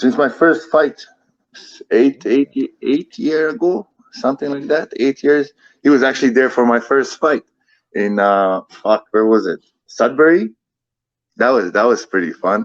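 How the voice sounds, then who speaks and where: A man with a non-native accent speaks fairly slowly, with long, frequent pauses and a fairly high pitch. His intonation is lively, and the sound is dry and close with no echo. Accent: foreign accent, noticeable. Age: 30s. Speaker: MMA fighter. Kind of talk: casual interview. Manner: repetitive, halting.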